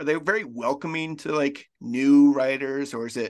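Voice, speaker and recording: A normal speaking voice with an American accent, fairly even intonation and moderate pace, over a quiet background. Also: man. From Kansas. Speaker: podcast host. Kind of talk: casual chat.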